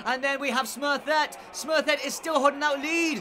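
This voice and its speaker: With noticeable background noise behind him, a man speaks at an extremely high pitch in a raised, projected voice, animated and energetic at a fairly quick pace. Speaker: horse race commentator. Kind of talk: live race commentary for a virtual horse racing game, played as a mock race call. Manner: fast, building excitement, animated and rising in pitch toward the finish; stock commentator phrases, fluent and energetic.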